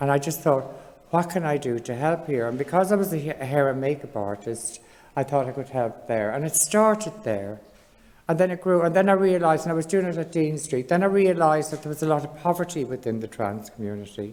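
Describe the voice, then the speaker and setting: A woman with an Irish accent speaks fairly quickly at a very deep, low pitch. Her intonation is lively. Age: 60s. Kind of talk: panel discussion testimony. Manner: conversational, with fillers.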